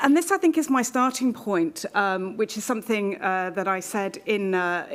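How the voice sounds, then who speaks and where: At a fairly quick pace, a woman talks with a medium pitch. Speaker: keynote speaker on pandemic risk communication. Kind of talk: conference keynote talk. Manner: fast.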